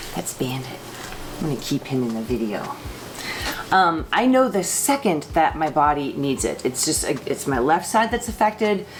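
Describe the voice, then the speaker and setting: Very wide pitch swings from a woman with a fairly low pitch, over noticeable background noise. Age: 40s. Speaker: vlogger with Parkinson's disease. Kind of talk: casual vlog talk to camera. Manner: hesitant, many fillers and repetitions.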